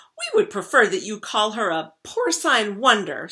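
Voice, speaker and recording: A female-sounding, put-on character voice comes through at a fairly high pitch and a moderate pace. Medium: read story. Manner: formal, earnest.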